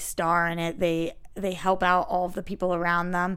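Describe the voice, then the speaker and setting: Her pitch is in the middle range. The speaker is a woman. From Boston. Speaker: actress and TV host. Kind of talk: casual interview chat.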